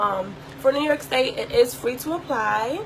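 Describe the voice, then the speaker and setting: Against noticeable background noise, a woman talks in an animated tone. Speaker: online boutique owner and vlogger. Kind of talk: tutorial vlog. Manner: fast.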